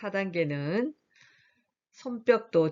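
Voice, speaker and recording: A woman's very slow speech with lively intonation. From Korea, Gyeongsang region. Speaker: professor. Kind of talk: lecture. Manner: laughing exercise demos.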